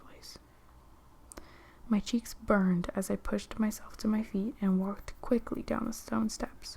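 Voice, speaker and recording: A soft-spoken voice talks at a moderate pace. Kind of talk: soft-spoken ASMR book reading.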